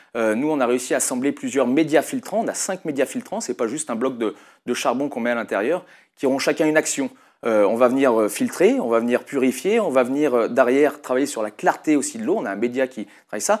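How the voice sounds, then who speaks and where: A man with a Lyonnais accent talks at a fairly quick pace and medium pitch with lively intonation, recorded very cleanly over a silent background. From Lyon area, France (Brindas). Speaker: company founder, entrepreneur. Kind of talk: interview. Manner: hesitant, many fillers.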